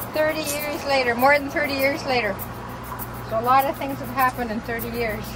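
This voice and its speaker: A fairly quick pace with music in the background and audible room echo. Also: woman. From Saskatchewan, First Nations reserve. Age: 60s. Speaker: mother on a family trip. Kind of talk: casual chat. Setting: outdoors.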